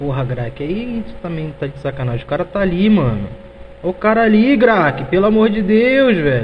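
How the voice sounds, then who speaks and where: Against noticeable background noise and audible room echo, a man speaks at a moderate pace with a high pitch and very wide pitch swings. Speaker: gaming streamer. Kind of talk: live gameplay stream chat. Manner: animated.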